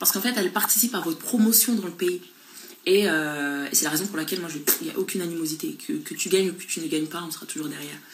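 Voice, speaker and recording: A woman's fairly low voice, animated and lively in intonation, at a very fast pace with big swings in loudness over noticeable background noise. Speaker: beauty pageant contestant. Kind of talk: Instagram live chat reading viewer comments. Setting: Instagram live.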